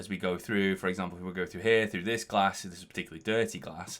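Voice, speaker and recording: The speech is mumbled at a very fast pace. The recording is very clean, with a silent background. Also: man. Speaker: visual effects artist teaching Unreal Engine. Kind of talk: tutorial. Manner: mumbling; halting, many restarts.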